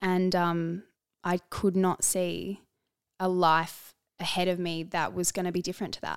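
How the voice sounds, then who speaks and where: A woman talks with an Australian accent. Her intonation is monotone and flat. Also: very clean recording, silent background. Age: 30s. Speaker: speech pathologist and model. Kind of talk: casual interview chat.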